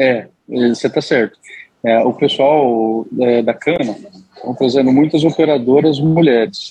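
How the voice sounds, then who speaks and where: Listen for a man with a plain, everyday voice at medium pitch. His loudness stays very even, and his pitch variation is ordinary. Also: fairly slow pace. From Mato Grosso, Brazil. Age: 30s. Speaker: agribusiness manager. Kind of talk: interview. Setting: podcast interview.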